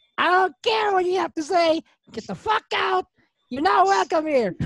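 Shouting in a put-on character voice at an extremely high pitch, the speaker keeps a moderate pace. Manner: yelling, angry.

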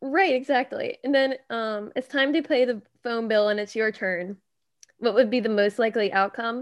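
A woman speaks in an unremarkable speaking voice, pitched fairly high, with ordinary pitch variation. Her pace is moderate and the background is quiet. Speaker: podcast host. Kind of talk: casual chat. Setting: video call.

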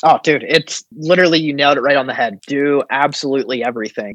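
An American accent comes through at a fairly quick pace. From US Midwest, southeastern Ohio. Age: 30s. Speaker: film producer. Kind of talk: casual interview.

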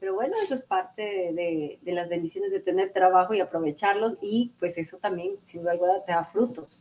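In an ordinary speaking voice, a woman with a medium pitch talks at a fairly quick pace with ordinary pitch variation and hardly any pauses. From Ecuador, Santo Domingo. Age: 40s. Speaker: lawyer and TV presenter. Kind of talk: interview.

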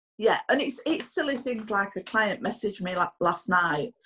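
A somewhat breathy woman with a Yorkshire accent speaks at a moderate pace. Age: 50s. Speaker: podcast host, business owner. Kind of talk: casual chat. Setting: remote recording.

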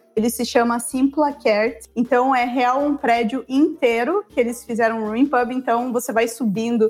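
At a moderate pace, a woman with a high pitch and fairly even intonation speaks with hardly any pauses. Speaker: travel guest living abroad. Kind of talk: casual chat.

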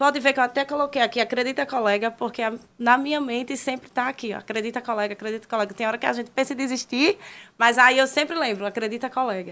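On a very clean recording with a silent background, a woman talks at a fairly quick pace. Her pitch is high, with ordinary pitch variation. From Brazil, Maceió, Alagoas. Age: 20s. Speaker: social media personality. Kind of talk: casual chat.

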